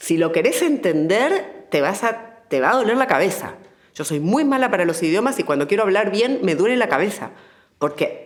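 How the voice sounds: A woman talks at a medium pitch and a moderate pace, with few pauses. Her pitch swings widely.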